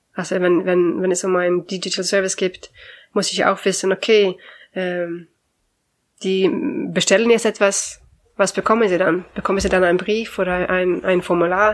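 In a Swedish accent, a woman speaks at medium pitch with monotone, flat intonation. Her speech has long, frequent pauses. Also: moderate pace. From Sweden. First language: Swedish (speaking German). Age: 40s. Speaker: language consultant. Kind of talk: interview. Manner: cheerful.

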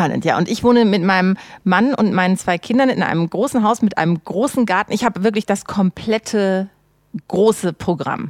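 Dry and close with no echo, the recording carries a woman's unremarkable speaking voice at a medium pitch and moderate pace, with ordinary pitch variation and very even loudness. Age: 40s. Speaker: social media consultant. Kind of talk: casual chat.

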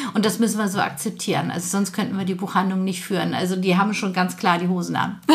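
A woman's very fast, flat, monotone delivery with hardly any pauses, over noticeable background noise. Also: medium pitch for a woman. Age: 50s. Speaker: bookshop owner. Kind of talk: casual interview.

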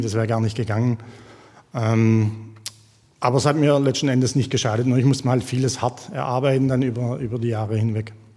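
A man in an ordinary speaking voice talks at a fairly quick pace with a medium pitch and fairly even intonation. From Jagst valley, northern Baden-Württemberg. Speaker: former footballer. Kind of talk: casual chat.

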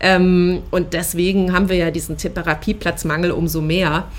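Here a woman talks with a fairly low pitch. Her pace is fairly slow. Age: 30s. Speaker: podcast co-founder sharing ADHD experience. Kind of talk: personal testimony interview. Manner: frequent filler hesitations.

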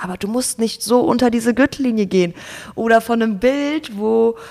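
In a normal speaking voice, a woman with a fairly high pitch talks at a moderate pace with fairly even intonation. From Germany, Ruhr area (Gelsenkirchen). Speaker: Instagram creator and student. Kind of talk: casual interview.

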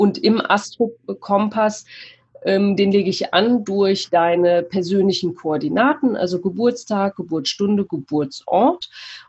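A woman's somewhat breathy voice at medium pitch, with ordinary pitch variation, very even loudness and a very slow pace. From Cologne, Germany. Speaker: mindfulness mentor and astrologer. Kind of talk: interview. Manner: hesitant with frequent fillers.

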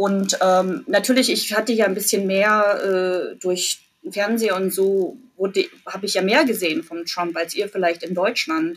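Here a woman speaks at a moderate pace. Her voice sits at a medium pitch. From East Germany (Jena, Thuringia). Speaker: university employee abroad. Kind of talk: casual interview chat. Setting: remote call from her office.

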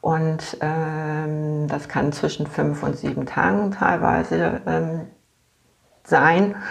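Speaking very slowly, a woman is heard with noticeable echo from the room. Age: 50s. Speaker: patient with multiple sclerosis. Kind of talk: casual interview. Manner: halting, many fillers.

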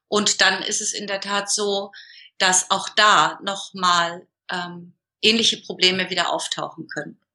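With fairly even intonation, an ordinary speaking voice proceeds at a fairly slow pace. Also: woman, medium pitch for a woman. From northern Germany, Hamburg area. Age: 40s. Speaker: business coach. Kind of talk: interview.

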